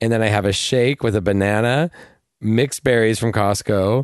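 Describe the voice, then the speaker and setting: A man speaks in a plain, everyday voice, fairly low in pitch with fairly even intonation. His pace is moderate and the background is quiet. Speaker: actor and comedian. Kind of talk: casual chat.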